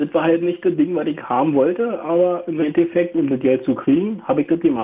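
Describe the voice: A man's fairly high voice with a slightly husky edge, fairly even intonation and a fairly quick pace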